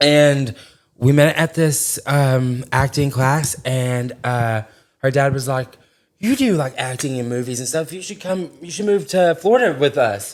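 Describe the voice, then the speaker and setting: Speaking with an Arkansas accent at a fairly slow pace, the voice has an animated tone, ordinary pitch variation and big swings in loudness. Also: man, fairly high pitch for a man. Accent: Southern US (Arkansas) twang. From Arkansas (small town, Corning). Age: 20s. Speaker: social media influencer. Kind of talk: casual chat.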